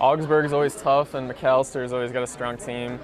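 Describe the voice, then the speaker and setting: Over music in the background, a man talks at a fairly quick pace and a medium pitch. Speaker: college soccer player. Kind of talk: interview. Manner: soft-spoken; halting.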